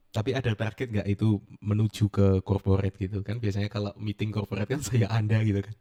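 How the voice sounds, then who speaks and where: Very fast male speech with a fairly low pitch, a dark, mellow tone, monotone, flat intonation, and a dry, close sound with no echo. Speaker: podcast host. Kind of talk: casual interview. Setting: podcast studio.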